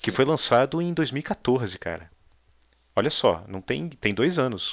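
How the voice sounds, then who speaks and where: A man with a normal speaking voice at a fairly slow pace and with lively intonation. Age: 30s. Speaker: podcast host. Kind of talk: casual interview.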